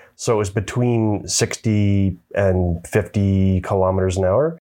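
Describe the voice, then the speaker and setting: With a Canadian accent, this dark, mellow voice keeps a fairly even intonation against a quiet background. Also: man. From Canada. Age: 50s. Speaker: author and adventure motorcyclist. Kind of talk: casual chat. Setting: on location in Canmore.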